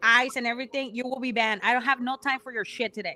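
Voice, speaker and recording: A woman speaks in a raised, projected voice at a high pitch. She has a Mexican accent. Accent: Mexican Spanish accent in English, noticeable. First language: Spanish. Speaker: podcast co-host, pro wrestler. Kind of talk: casual chat. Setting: live stream. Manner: code-switching between English and Spanish; halting, searching for words.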